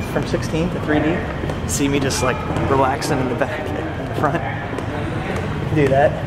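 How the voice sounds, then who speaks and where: A man speaks at a moderate pace while music runs in the background. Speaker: travel vlogger. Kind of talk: casual vlog chat. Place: station. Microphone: phone near.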